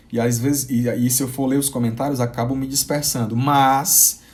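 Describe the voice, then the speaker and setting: Audible room echo surrounds the recording. A man speaks at a moderate pace with a fairly high pitch. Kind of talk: live-streamed sermon. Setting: live stream. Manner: halting, with repetitions.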